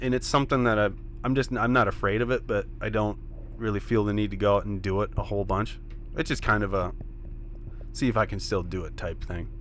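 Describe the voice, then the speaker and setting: A man's very fast speech broken by long, frequent pauses. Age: 30s. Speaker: professional ATV freestyle rider. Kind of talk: casual interview chat.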